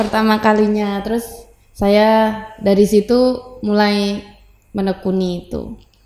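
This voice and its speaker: A woman speaks at a fairly slow pace with a medium pitch. Her intonation is flat and monotone. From Soko, Tuban, East Java, Indonesia. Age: 20s. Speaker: wrestler and university student. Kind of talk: casual interview. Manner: brief, short answers.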